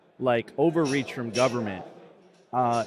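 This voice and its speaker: There is noticeable background noise behind this recording. A man talks at a moderate pace in an American accent. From US, Miami. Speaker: media company founder and host. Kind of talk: casual interview chat.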